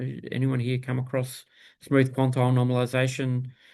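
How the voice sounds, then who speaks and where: A man speaks with an Australian accent. His voice is medium in pitch. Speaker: bioinformatics workshop instructor. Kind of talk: technical workshop tutorial. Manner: casual with frequent fillers (um, uh).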